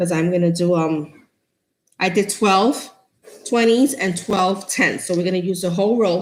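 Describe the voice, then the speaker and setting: In a New York accent, a woman talks at a fairly quick pace. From New York City, the Bronx. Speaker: craft tutorial host. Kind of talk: live-stream craft tutorial. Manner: chatty, casual.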